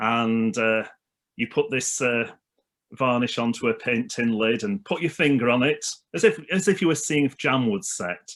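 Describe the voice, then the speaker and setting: Speaking at a moderate pace with lively intonation, the voice has a Lancashire accent and comes through on a very clean recording with a silent background. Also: man, medium pitch for a man. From northern England (Leyland, Lancashire). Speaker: minister. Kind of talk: casual chat.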